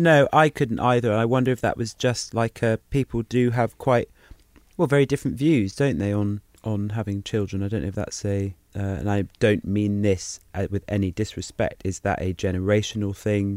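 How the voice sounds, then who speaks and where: Recorded dry and close with no echo, a man with an English accent speaks at a moderate pace in a fairly low pitch with ordinary pitch variation. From England. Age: 30s. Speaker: podcast co-host. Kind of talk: casual chat.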